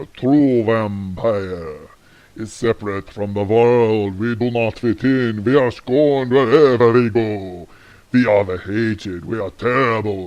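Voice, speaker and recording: Fairly slow pacing in a put-on character voice from a man. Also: medium pitch for a man. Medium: comedy skit.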